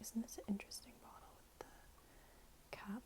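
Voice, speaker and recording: Noticeable background noise surrounds a soft-spoken woman with a gentle tone. She talks at a fairly slow pace with ordinary pitch variation. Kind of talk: ASMR show and tell, talking to camera. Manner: soft-spoken, gentle.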